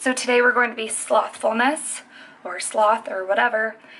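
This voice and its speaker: A quiet woman's voice, fairly high-pitched, with fairly even intonation. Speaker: makeup artist youtuber. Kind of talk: makeup tutorial. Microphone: phone near.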